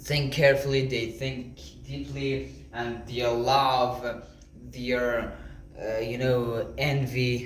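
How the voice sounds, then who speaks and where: A man's medium-pitched voice at a very slow pace, fairly even in intonation, with audible room echo and noticeable background noise. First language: not English. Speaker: motivational vlogger. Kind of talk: casual monologue to camera. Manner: halting, many fillers.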